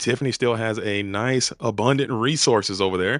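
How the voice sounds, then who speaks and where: Bright and sharp in tone, a man with an American accent speaks in an animated way at a medium pitch with ordinary pitch variation, on a very clean recording with a silent background. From US South, Georgia (Atlanta area). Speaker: esports caster. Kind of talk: live commentary.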